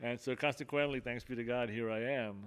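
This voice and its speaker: A man talks fairly quickly in an American accent, at medium pitch. His intonation is fairly even, and the recording is very clean with a silent background. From Miami and New Jersey, US (Cuban-born). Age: 60s. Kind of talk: testimony. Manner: halting, many fillers.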